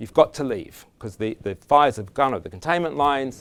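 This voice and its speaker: On a very clean recording with a silent background, a man with an Australian accent speaks at a fairly quick pace and medium pitch, his intonation lively. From Australia, Canberra. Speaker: conference speaker on resilience. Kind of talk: conference talk. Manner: halting, many restarts and fillers.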